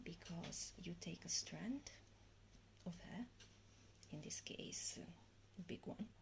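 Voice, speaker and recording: A woman's whisper at a very slow pace, full of long, frequent pauses. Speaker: hair tutorial youtuber. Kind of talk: tutorial. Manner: halting, many fillers.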